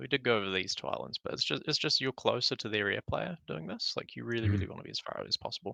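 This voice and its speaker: Recorded very cleanly against a silent background, a man talks at a very fast pace with a dry, close sound and no echo. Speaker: strategy game player and coach. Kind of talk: casual game replay analysis. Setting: voice chat stream, lower quality.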